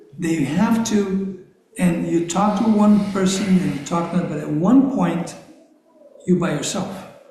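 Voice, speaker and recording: A man talks in a high pitch. Noticeable background noise and audible room echo come through. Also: ordinary pitch variation, moderate pace. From Brazil. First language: Portuguese. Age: 60s. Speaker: activist guest speaker. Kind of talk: conversational interview in a congregation. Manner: halting.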